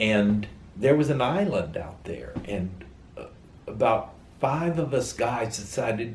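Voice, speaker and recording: With audible room echo, a somewhat breathy man speaks at a medium pitch and a fairly slow pace, his intonation lively and his loudness swinging widely. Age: 70s. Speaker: interviewee sharing faith story. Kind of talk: testimony.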